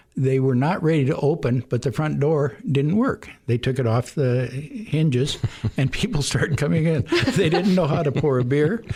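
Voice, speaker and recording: A fairly high-pitched man with an American accent, moderate pace, ordinary pitch variation and very even loudness, over noticeable background noise. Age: 70s. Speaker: bar owner. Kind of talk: radio interview. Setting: radio studio.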